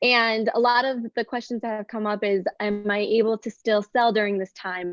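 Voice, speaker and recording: Speaking at a fairly quick pace, a woman has an American accent and a fairly high pitch. Hers is an unremarkable speaking voice. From United States. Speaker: business coach. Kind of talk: live video chat interview.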